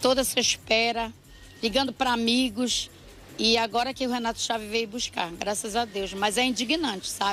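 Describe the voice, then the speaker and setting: With an ordinary speaking voice, a woman talks at a fairly high pitch and with fairly even intonation. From Belém, Pará, northern Brazil. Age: 60s. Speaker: local resident interviewed. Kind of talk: street news interview.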